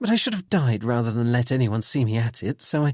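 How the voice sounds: Read in a natural voice, the words carry lively intonation.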